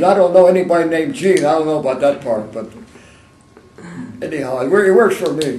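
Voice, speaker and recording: A high-pitched male voice with lively intonation, a fairly quick pace, long, frequent pauses and audible room echo. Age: 80s+. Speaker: war veteran. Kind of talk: oral history interview. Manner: fast.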